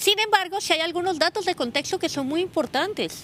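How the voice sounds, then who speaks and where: With a Colombian accent, a woman talks at a fairly quick pace, her pitch swinging very widely. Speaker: sociologist and researcher. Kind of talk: interview. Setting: outdoors. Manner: halting.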